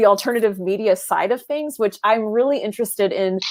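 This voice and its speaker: An animated woman's voice, fairly high-pitched, with ordinary pitch variation. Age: 30s. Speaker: podcast host. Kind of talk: interview.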